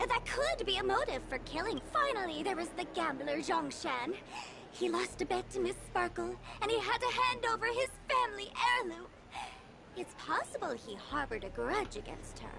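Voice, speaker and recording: A put-on character voice at an extremely high pitch, over clear background noise. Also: moderate pace. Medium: video game. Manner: calm, explanatory.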